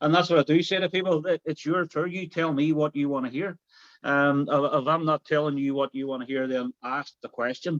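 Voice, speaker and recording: This man has a strong Derry accent and a fairly high pitch, speaking at a fairly quick pace. His intonation is fairly even, and the sound is dry and close with no echo. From Northern Ireland, Derry. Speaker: tour guide. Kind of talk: interview. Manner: hesitant, repeats words.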